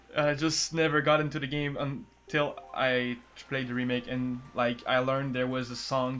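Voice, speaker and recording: A man with a non-native accent speaks at a moderate pace, with hardly any pauses. His voice is medium in pitch with a bright, sharp tone, and his intonation is monotone and flat. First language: not English. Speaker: gaming youtuber. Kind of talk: casual chat. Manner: halting.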